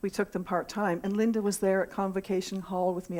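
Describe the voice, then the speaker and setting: A plain, everyday voice moves at a fairly quick pace in a very clean recording with a silent background. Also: woman. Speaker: congregant sharing a personal tribute. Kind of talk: testimony.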